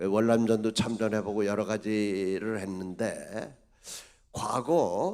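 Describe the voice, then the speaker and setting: At a very slow pace, a man speaks. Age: 80s+. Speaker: retired army general. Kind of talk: speech at an event. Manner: halting with fillers.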